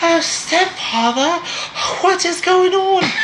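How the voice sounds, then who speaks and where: A put-on, breathy character voice at an extremely high pitch speaks at a very slow pace over clear background noise. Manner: mocking.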